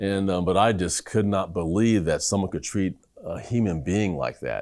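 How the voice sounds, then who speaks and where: This man has a plain, everyday voice with a fairly low pitch and ordinary pitch variation. He speaks at a moderate pace on a very clean recording with a silent background. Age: 60s. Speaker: neurologist. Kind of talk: interview testimony.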